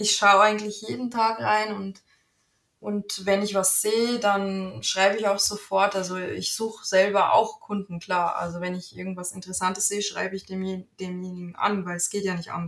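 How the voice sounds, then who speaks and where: A woman with a slight Bavarian accent, medium pitch, fairly even intonation and a moderate pace. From Germany, North Rhine-Westphalia (Bielefeld-Gütersloh area). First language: Italian (speaking German). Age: 30s. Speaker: virtual assistant. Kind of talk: casual interview.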